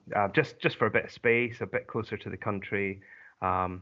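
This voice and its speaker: A man with a Scottish accent and a fairly low pitch. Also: ordinary pitch variation, moderate pace. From Scotland. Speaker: voice actor, narrator. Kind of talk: interview answer.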